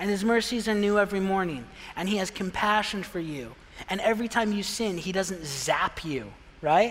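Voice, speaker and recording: Speech in an American accent at a moderate pace, with ordinary pitch variation, has audible room echo and noticeable background noise. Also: man. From Pine, Arizona, US. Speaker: pastor. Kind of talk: sermon. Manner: casual, conversational.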